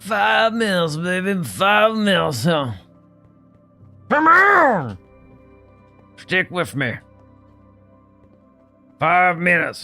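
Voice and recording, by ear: A put-on character voice at middle pitch goes at a very slow pace with long, frequent pauses over faint background music.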